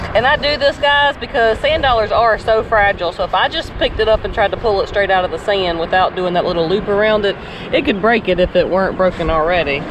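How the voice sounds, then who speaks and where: Over noticeable background noise, a woman with a Southern US accent talks very fast at a medium pitch with lively intonation. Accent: southern accent, sounds country. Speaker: vlogger. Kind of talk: casual beach-walk vlog chat. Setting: outdoors on a beach.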